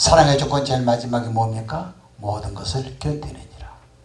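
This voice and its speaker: Noticeable background noise behind a man's moderate-paced talking. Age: 70s. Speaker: pastor. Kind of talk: sermon.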